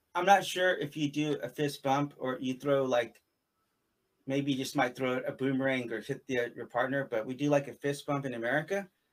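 A man's unremarkable speaking voice, fairly high in pitch, with fairly even intonation at a moderate pace. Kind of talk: interview in live-stream conversation. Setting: live stream video call.

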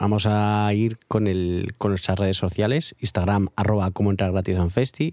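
An unremarkable speaking voice with fairly even intonation and hardly any pauses, on a very clean recording with a silent background. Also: man, fairly low pitch for a man, moderate pace. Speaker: music podcast co-host. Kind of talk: casual chat.

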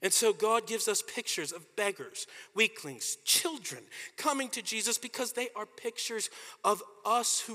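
With an American accent, a man talks in a raised, projected voice of extremely high pitch, bright and sharp in tone, with lively intonation and a dry, close sound with no echo. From US, Washington DC. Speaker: pastor. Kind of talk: sermon.

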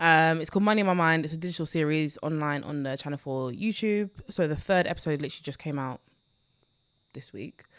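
On a very clean recording with a silent background, a woman with an East London accent talks very fast at a very deep, low pitch, with ordinary pitch variation and big swings in loudness. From London, Newham. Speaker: personal finance creator. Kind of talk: casual chat.

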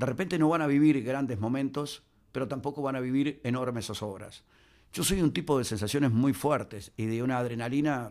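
Man with a Uruguayan accent, medium pitch and ordinary pitch variation, a fairly quick pace, on a very clean recording with a silent background. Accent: Uruguayan Spanish (rioplatense). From Uruguay, Minas (Lavalleja). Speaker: sports commentator and journalist. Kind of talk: interview conversation.

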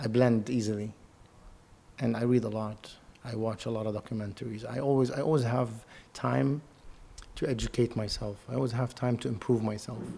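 At a fairly quick pace but with long, frequent pauses, a man with a Lebanese accent speaks at medium pitch in a dark, mellow tone with fairly even intonation. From Lebanon. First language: Arabic. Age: 30s. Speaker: model and actor. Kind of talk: casual interview.

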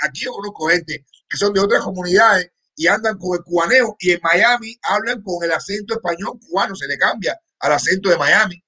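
A man's raised, projected voice, bright and sharp in tone, at a fairly quick pace with ordinary pitch variation. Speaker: co-host of political talk stream. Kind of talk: casual chat. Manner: animated.

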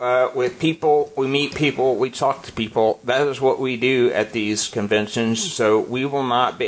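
An animated male voice of medium pitch, with ordinary pitch variation, at a fairly slow pace over noticeable background noise. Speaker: podcast host. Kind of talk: casual banter chat. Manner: animated, joking.

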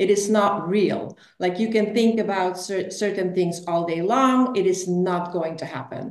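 A woman has an ordinary speaking voice at a medium pitch. She talks at a fairly slow pace. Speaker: spiritual money coach. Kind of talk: interview.

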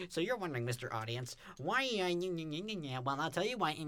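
A man speaks in a put-on character voice, pitched fairly high, at a moderate pace. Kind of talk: YouTuber narration. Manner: hyped, addressing an audience.

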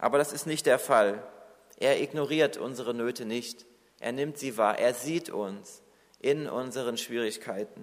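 A man speaks in a plain, everyday voice, pitched in the medium range. His delivery is fairly slow, and his pitch varies in an ordinary way. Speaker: preacher. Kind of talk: sermon. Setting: church. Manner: earnest, warm and reassuring, pastoral tone; measured, exhorting the congregation directly.

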